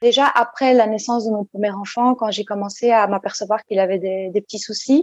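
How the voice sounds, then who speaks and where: An unremarkable speaking voice from a woman, fairly high in pitch, at a moderate pace with ordinary pitch variation. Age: 40s. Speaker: psychologist. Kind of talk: interview.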